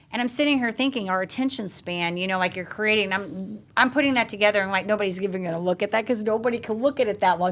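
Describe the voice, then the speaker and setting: Over noticeable background noise, the speaker rushes at a very fast pace with an animated tone and lively intonation. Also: woman. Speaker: podcast host. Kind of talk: casual chat. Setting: in-person studio recording.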